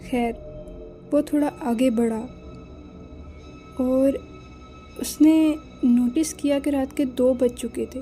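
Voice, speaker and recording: Over music in the background, a woman speaks at a high pitch with fairly even intonation. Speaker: storyteller. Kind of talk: horror story narration.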